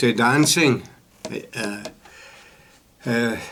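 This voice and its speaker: A man with a Glaswegian accent talks at a very slow pace. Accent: Glaswegian Scottish. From Scotland, Glasgow south side. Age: 80s+. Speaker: storyteller sharing life memories. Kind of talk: personal life story. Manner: halting, with many fillers.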